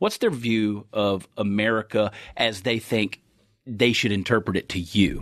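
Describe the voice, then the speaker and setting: A man speaks in a fairly low voice with a Texan accent, his intonation fairly even against a quiet background. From Texas. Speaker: podcast host and comedian. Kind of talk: casual interview chat. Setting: studio. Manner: fast.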